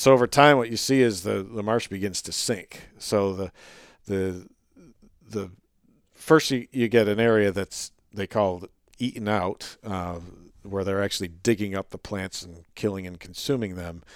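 A man with an American accent speaks in an ordinary speaking voice at a fairly low pitch and moderate pace. His pitch varies in an ordinary way, loudness swings widely, and the recording is very clean with a silent background. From upstate New York. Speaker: wildlife biologist. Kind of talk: casual interview chat.

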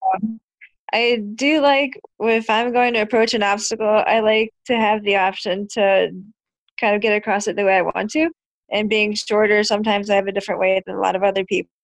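A woman with a normal speaking voice at a fairly quick pace, over a quiet background. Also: fairly high pitch for a woman, fairly even intonation. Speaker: athlete. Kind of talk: casual chat.

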